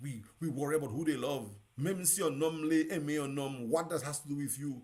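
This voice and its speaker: There is vocal fry in this man's voice as he talks at a moderate pace. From Dominica. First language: Dominican Creole. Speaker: radio host. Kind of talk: live talk show monologue. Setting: live broadcast. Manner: animated.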